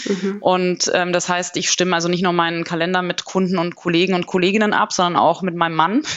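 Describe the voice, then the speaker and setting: A woman's fairly low-pitched voice at a fairly quick pace, with noticeable background noise. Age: 30s. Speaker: management consultant. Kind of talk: interview.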